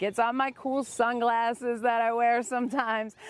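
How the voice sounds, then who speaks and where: Speaking at a moderate pace in a normal speaking voice, a woman with an American accent has a fairly high pitch, captured in a very clean recording with a silent background. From US Midwest. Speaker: stand-up comedian. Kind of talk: comedic monologue to camera. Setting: outdoors on the beach.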